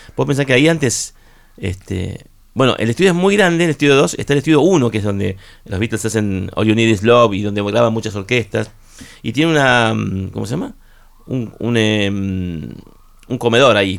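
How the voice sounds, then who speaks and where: This is an ordinary speaking voice from a man at a medium pitch. He moves at a moderate pace with lively intonation. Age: 50s. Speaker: rock musician. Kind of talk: radio interview. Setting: radio studio.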